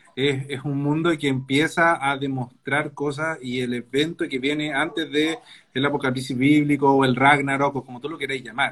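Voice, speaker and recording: The speaker keeps a moderate pace. The intonation is monotone and flat. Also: man, fairly high pitch for a man. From Chile. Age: 30s. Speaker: novelist. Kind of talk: casual chat.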